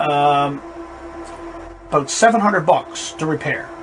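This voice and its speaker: A man speaks with a Newfoundland accent. Music plays in the background. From Newfoundland, Canada. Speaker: amateur radio operator. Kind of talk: equipment review. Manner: casual, conversational with fillers.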